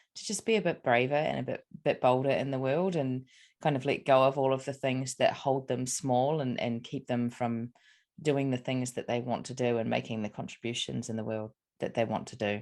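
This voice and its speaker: The speaker has a New Zealand accent and a fairly quick pace with ordinary pitch variation. The background is quiet. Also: woman, very deep, low pitch for a woman. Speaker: psychic medium and spiritual mentor. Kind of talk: interview, casual chat. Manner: hesitant, many fillers.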